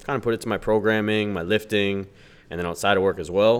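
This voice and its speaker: A man with an ordinary speaking voice talks at a fairly low pitch, his intonation fairly even. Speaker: powerlifter and hospital worker. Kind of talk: casual conversation.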